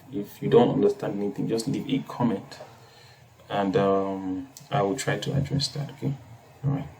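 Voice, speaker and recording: There is noticeable background noise behind the speaker. A man talks with long, frequent pauses. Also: medium pitch for a man, lively intonation, moderate pace. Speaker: coding tutorial youtuber. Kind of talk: tutorial. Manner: hesitant, many fillers.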